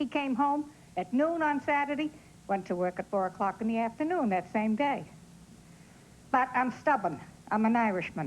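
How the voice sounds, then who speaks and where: Speaking in a Boston accent at a moderate pace, a woman with a fairly high pitch makes very wide pitch swings and takes long, frequent pauses. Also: very even loudness. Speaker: talk show audience member. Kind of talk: casual chat.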